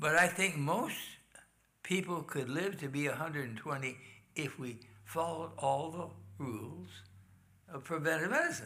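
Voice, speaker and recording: The voice has a bright, sharp tone with vocal fry, at a moderate pace. Long, frequent pauses break it up, and audible room echo surrounds it. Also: man, fairly high pitch for a man, ordinary pitch variation. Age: 80s+. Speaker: health lecturer. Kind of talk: health talk in church.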